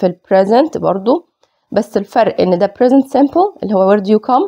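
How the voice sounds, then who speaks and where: A plain, everyday voice at a fairly quick pace with ordinary pitch variation. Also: woman. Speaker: English teacher. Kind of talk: lecture.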